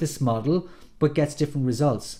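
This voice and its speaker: A man with an Irish accent speaks very fast in a fairly high voice. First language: Irish Gaelic. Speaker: NLP coach. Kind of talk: tutorial. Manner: casual, some hesitations.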